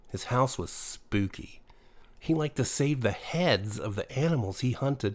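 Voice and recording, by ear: Natural-voiced reading aloud, full of lively intonation.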